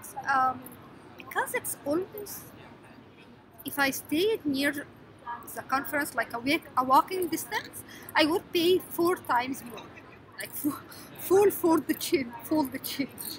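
Amid light background noise, a woman speaks at a high pitch and a very slow pace, with lively intonation, big swings in loudness and long, frequent pauses. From Egypt. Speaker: scientist vlogger. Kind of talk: casual vlog tutorial. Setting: noisy public place. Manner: halting, many fillers. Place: hall. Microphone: phone near.

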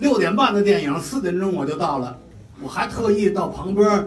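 A male speaker with audible room echo and light background noise. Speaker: mentor of a performer. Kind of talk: promotional speech. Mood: cheerful, enthusiastic. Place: hall.

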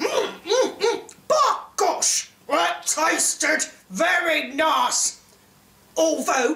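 A high-pitched, put-on character voice speaks at a very slow pace. An echo is audible. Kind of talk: dramatic storybook reading. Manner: grumpy.

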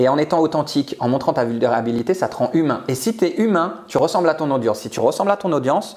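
Against a quiet background, a man speaks at a very fast pace with lively intonation and an animated tone. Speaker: public speaking coach. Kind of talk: interview, coaching advice. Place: home room. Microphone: lapel.

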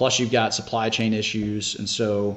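This is a man with a fairly low pitch. He speaks with an American accent. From US South, Shreveport, Louisiana; Louisiana. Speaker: senior living developer; podcast guest. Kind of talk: casual interview. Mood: relaxed, candid. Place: home room. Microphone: video call.

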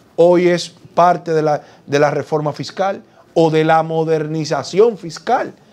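A man speaks in a fairly high pitch. His pace is very slow. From Dominican Republic. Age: 40s. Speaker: politician; politician interviewee. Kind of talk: TV interview. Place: studio. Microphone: lapel.

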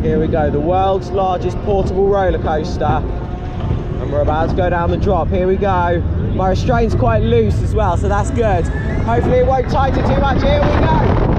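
At a moderate pace, a man speaks with very even loudness amid audible room echo and noticeable background noise. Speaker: theme park vlogger. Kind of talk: vlog commentary. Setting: outdoors at a funfair. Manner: enthusiastic.

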